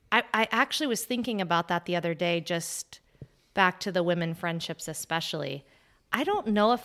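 A woman with an American accent speaks in an unremarkable speaking voice at medium pitch and a moderate pace, her intonation lively, on a very clean recording with a silent background. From Arizona. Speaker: podcast co-host. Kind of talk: casual chat.

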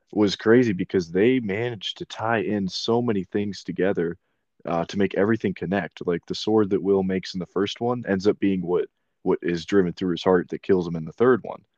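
With a plain, everyday voice, a man speaks at a fairly quick pace and fairly low pitch, his intonation fairly even, in a dry, close sound with no echo and a quiet background. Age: 20s. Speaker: podcast host. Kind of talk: casual chat.

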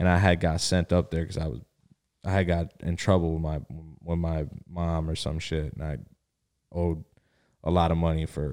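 A man's very deep, low voice, fairly even in intonation, at a fairly quick pace with long, frequent pauses, on a very clean recording with a silent background. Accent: Miami. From South Florida (Miami), born in Connecticut. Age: 20s. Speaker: podcast co-host. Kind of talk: casual chat.

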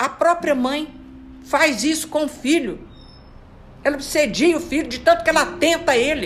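Speaking at a moderate pace in an animated tone, a woman with a high pitch and ordinary pitch variation leaves long, frequent pauses. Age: 70s. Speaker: spiritist study leader. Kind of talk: religious study talk.

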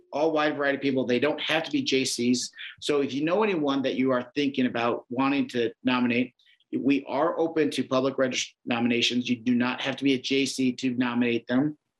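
In a Midwestern American accent, the voice moves at a fairly quick pace with fairly even intonation and very even loudness. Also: man, medium pitch for a man. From Iowa. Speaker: public defender. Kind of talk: interview.

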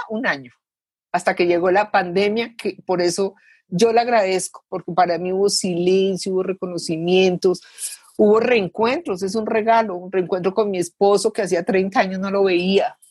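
A woman with a normal speaking voice talks at a moderate pace and a medium pitch, keeping her intonation fairly even. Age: 60s. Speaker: civil engineer, participant. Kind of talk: testimony.

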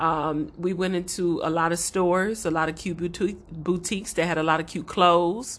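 A plain, everyday voice from a woman with an American accent, fairly low in pitch, with fairly even intonation, a moderate pace and a quiet background. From Los Angeles. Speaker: podcast co-host. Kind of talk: casual chat.

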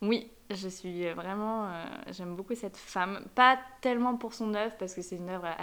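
The woman's pitch sits at a medium level. She keeps her intonation fairly even. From France, Savoie (Aix-les-Bains). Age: 20s. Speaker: student, host's best friend. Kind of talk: casual interview chat.

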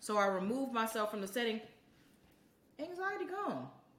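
Audible room echo on a woman's fairly high voice. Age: 30s. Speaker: podcast co-host. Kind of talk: casual chat.

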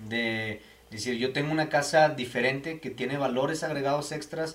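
Noticeable background noise, a moderate pace and fairly even intonation. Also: man. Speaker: podcast host for a home builder. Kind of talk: casual interview.

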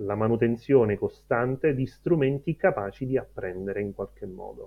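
Moderate pace and ordinary pitch variation in a man's a plain, everyday voice. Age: 30s. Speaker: data science educator. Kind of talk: interview.

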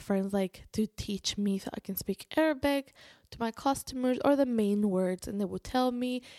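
A fairly high-pitched woman speaks in a Spanish accent, her tone dark and mellow, with ordinary pitch variation. The pace is moderate, and the recording is very clean over a silent background. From Spain. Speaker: podcaster and convert to Islam. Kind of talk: personal storytelling monologue.

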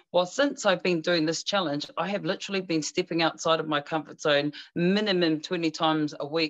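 A woman with a New Zealand accent speaks in a very deep, low voice. Her pace is fairly quick and her intonation fairly even against a quiet background. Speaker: actress, singer and life coach. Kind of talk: casual interview.

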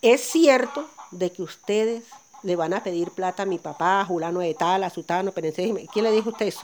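Against noticeable background noise, a woman talks at medium pitch and a fairly quick pace with ordinary pitch variation. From Colombia, Sierra Nevada de Santa Marta. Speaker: coffee farmer. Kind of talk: testimony. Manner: laughs easily and loudly.

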